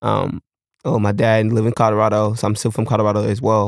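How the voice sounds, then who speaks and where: In an American accent, the speaker talks at a moderate pace with monotone, flat intonation on a very clean recording with a silent background. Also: man. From Texas. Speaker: clothing brand founder. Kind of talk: interview. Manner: halting, repetitive.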